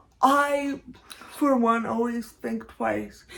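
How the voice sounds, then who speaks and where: Noticeable background noise sits under a woman's voice. Her pitch is high and her intonation fairly even. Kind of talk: vlog commentary. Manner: halting with repetitions.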